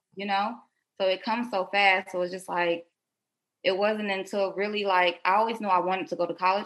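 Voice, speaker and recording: This woman has a normal speaking voice at medium pitch, with an American accent, fairly even intonation and a fairly quick pace. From Detroit, Michigan (born South Carolina). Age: 20s. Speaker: nail business entrepreneur. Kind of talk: casual interview. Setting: remote call.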